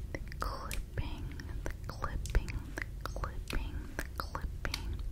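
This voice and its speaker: A woman whispers. Her pace is very slow. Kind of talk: soft-spoken role play. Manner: soft, close-mic ASMR murmur. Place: home room. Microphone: studio mic.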